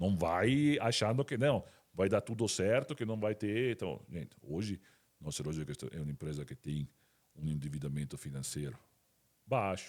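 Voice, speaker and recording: A man with a slight Italian accent speaks at a moderate pace in a very deep, low pitch, with very wide pitch swings. He leaves long, frequent pauses, and the recording is very clean with a silent background. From Italy. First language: Italian (speaking Portuguese). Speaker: company CEO. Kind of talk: interview podcast. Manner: halting, many repetitions.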